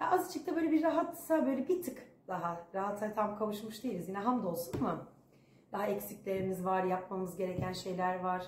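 A woman talks fairly quickly with very wide pitch swings, amid light background noise and audible room echo. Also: medium pitch for a woman. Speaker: vlogger. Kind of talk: casual vlog chat. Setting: home. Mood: tired, reflective. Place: home room. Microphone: phone near.

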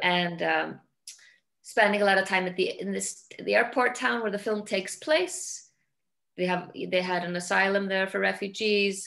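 In an Icelandic accent, a woman speaks at a moderate pace over a quiet background. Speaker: film director; guest. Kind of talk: interview. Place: home room. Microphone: video call.

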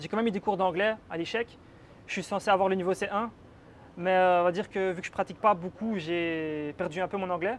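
A man with a Belgian accent and a high pitch, at a fairly quick pace, over light background noise. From Belgium. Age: 20s. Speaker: exchange student. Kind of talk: casual chat. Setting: apartment tour. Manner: animated. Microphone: lapel.

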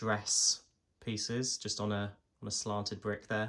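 This man's voice sits fairly low and moves at a fairly slow pace. His intonation is monotone and flat, against a quiet background. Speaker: toy reviewer. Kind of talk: product review commentary. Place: home room. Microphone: phone near.

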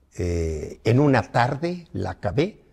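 A man speaks at a medium pitch, somewhat breathy, with lively intonation. The background is quiet. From Mexico, Morelos; Mexico. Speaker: veteran politician; interviewee. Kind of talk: interview. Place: home room.

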